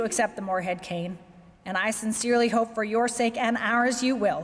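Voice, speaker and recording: Using an ordinary speaking voice, a woman with a fairly high pitch talks at a fairly quick pace with lively intonation. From Canada, Victoria, British Columbia. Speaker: corporate executive. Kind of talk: keynote speech. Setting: banquet with audience.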